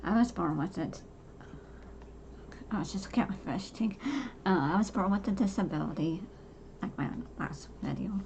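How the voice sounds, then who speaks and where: Against noticeable background noise, a woman of medium pitch speaks at a moderate pace with ordinary pitch variation and long, frequent pauses. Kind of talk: personal monologue. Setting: home. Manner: halting.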